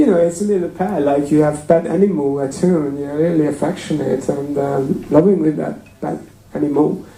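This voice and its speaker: A fairly high-pitched man with ordinary pitch variation, amid noticeable background noise and audible room echo. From Hungary. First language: Hungarian. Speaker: temple speaker. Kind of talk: sermon. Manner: hesitant, many fillers.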